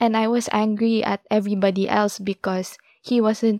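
In a dark, mellow tone, a woman speaks at a medium pitch and moderate pace with monotone, flat intonation and a dry, close sound with no echo. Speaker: podcast host. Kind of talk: personal monologue.

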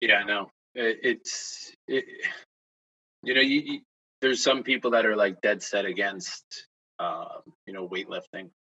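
A man with an American accent at a fairly slow pace, with long, frequent pauses and big swings in loudness. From Kingston, New York, US. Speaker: high school track coach and PE teacher. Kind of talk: casual interview chat.

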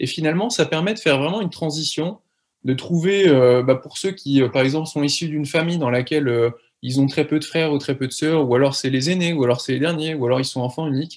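A man's fairly high voice with ordinary pitch variation against a quiet background. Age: 30s. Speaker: former commando paratrooper retraining in leatherwork. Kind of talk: personal testimony interview. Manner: halting, with many repeated words and fillers.

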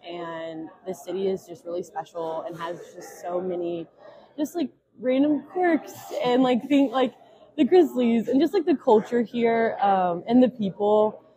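Over noticeable background noise, a woman with an American accent speaks fairly slowly at a fairly high pitch, with very wide pitch swings and big swings in loudness. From West Tennessee (Jackson). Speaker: recent graduate, speech pathology. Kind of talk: casual chat.

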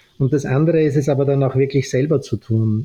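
A man's medium-pitched, dark and mellow, somewhat breathy voice with an Austrian accent. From Austria, Vienna. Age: 50s. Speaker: fashion entrepreneur and author. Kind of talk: podcast interview.

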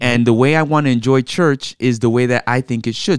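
A man speaks at a medium pitch and fairly quick pace in an unremarkable speaking voice. The sound is dry and close, with no echo. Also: very clean recording, silent background. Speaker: pastor and podcast co-host. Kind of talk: casual conversational podcast chat.

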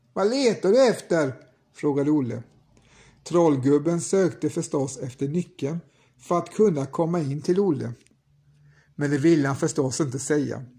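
A man's fairly high, somewhat breathy voice with a dark, mellow tone on a very clean recording against a silent background. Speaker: podcast host and storyteller. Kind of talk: fairy-tale audiobook narration. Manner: measured, unhurried narrator.

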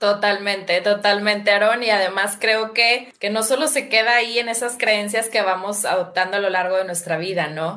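A plain, everyday voice at a moderate pace, with fairly even intonation and hardly any pauses. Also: woman, medium pitch for a woman. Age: 40s. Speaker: habit-change coach and podcaster. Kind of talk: casual conversation on a livestream.

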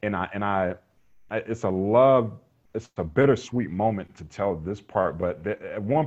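Moderately paced speech from a man with an American accent. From North Carolina, Raleigh. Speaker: Paralympic athlete and motivational speaker. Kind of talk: casual interview.

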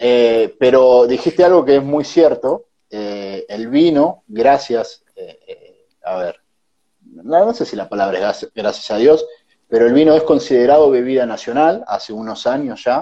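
In a Rioplatense accent, a man with a dark, mellow tone and medium pitch speaks at a fairly slow pace, with lively intonation and big swings in loudness. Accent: Argentine Rioplatense Spanish. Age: 20s. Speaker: entrepreneur. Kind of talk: casual interview.

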